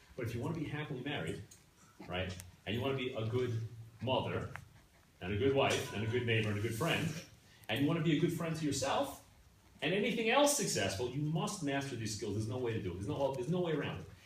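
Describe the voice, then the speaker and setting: Over noticeable background noise and audible room echo, a man speaks very fast at a medium pitch, swinging his pitch very widely and taking long, frequent pauses. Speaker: class teacher. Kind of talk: lecture.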